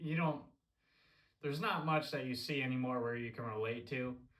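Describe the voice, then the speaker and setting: A room echo is audible around the medium-pitched voice of a man. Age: 20s. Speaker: hunting vlogger. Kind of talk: casual monologue. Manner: halting, many fillers.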